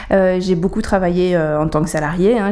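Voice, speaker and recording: Noticeable background noise accompanies a woman speaking at a moderate pace and medium pitch with ordinary pitch variation. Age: 30s. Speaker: caterer and social entrepreneur. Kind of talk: interview. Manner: hesitant, many fillers.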